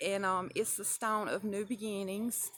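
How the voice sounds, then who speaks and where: In a Southern US accent, a woman speaks at a medium pitch with a bright, sharp tone and monotone, flat intonation. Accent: Southern twang. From US South. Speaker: crystal and spell work vlogger. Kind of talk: casual tutorial. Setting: outdoors at the edge of the woods. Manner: relaxed, with many fillers (um).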